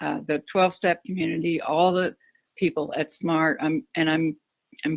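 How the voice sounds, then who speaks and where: Her voice is a plain, everyday voice, the woman pitched fairly low. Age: 60s. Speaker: recovery group facilitator, former nurse. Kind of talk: interview.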